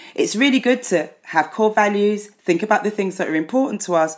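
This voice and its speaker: Her pitch swinging very widely, a woman with a medium-pitched voice speaks at a moderate pace. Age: 50s. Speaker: psychotherapist. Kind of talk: casual chat. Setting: video call.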